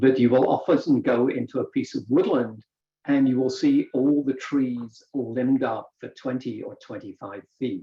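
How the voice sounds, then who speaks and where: With a British accent, a man speaks at a fairly slow pace and medium pitch, his intonation fairly even but his loudness swinging widely. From Britain. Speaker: woodworker. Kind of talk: presentation.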